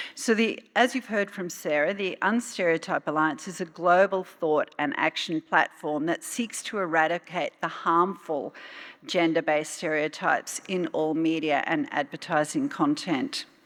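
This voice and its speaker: A woman's fairly low voice at a moderate pace, lively in its intonation, with hardly any pauses. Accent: Australian. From Australia. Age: 60s. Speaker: UN official. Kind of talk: keynote speech. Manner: hesitant with frequent fillers.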